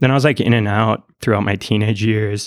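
A man with a fairly low pitch and an American accent talks at a very fast pace. The recording is very clean, with a silent background. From northern Minnesota, US. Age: 30s. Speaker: sociology doctoral researcher. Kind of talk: interview conversation.

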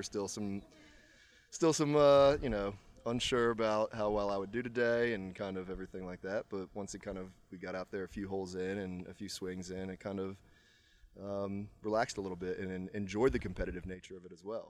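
A man's fairly low, plain, everyday voice at a fairly quick pace, with ordinary pitch variation. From Virginia, Charlottesville. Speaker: amateur golfer. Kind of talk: casual chat. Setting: country club after a golf round.

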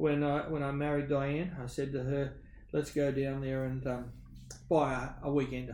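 A man with an Australian accent speaks at a moderate pace, his pitch fairly high for a man and his tone dark and mellow. His intonation stays flat and monotone, and there is audible room echo. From Western Sydney, Australia. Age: 50s. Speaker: business owner. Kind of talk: interview conversation.

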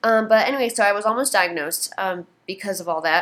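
A woman talks at a fairly quick pace in a normal speaking voice, with ordinary pitch variation. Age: 20s. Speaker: podcaster with ADHD. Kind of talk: personal monologue.

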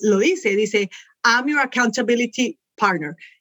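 The woman's intonation is lively. She speaks with a high pitch. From Colombia, raised in United States. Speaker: virtual assistant. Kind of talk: interview.

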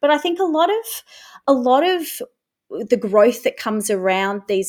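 This woman has a high pitch, very wide pitch swings and an Australian accent, speaking at a fairly slow pace. The recording is very clean with a silent background. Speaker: English teacher. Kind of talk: panel discussion.

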